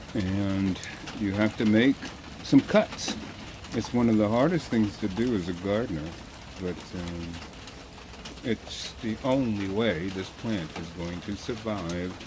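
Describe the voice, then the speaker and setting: Very slow delivery with long, frequent pauses over noticeable background noise. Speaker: home gardener. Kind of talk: gardening tutorial. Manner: casual, hesitant.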